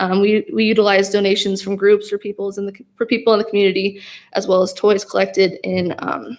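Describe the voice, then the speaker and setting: A woman talks in a normal speaking voice at a medium pitch. Her intonation is fairly even. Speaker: police social worker. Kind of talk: public meeting presentation.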